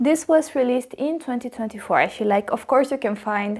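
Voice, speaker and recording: A woman speaks fairly quickly while noticeable background noise runs underneath. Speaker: fragrance reviewer. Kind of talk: product review vlog.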